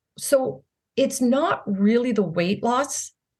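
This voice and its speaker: A woman's voice with a fairly high pitch. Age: 60s. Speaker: health and wellness coach. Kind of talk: interview conversation.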